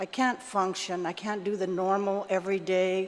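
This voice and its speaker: At a medium pitch and a rather slow rate, this woman has an unremarkable speaking voice. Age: 60s. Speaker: member of the public testifying at a legislative hearing. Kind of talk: public testimony. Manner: conversational, many fillers.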